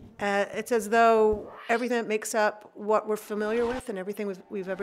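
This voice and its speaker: A woman's medium-pitched voice over noticeable background noise. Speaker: astrophysicist. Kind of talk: science explainer narration. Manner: casual, conversational with fillers.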